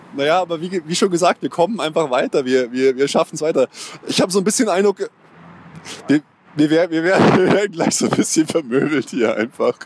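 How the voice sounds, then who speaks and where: A high-pitched man talks at a fairly quick pace with lively intonation and very even loudness. Noticeable background noise is present. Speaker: football podcast host. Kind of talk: casual chat. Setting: stadium.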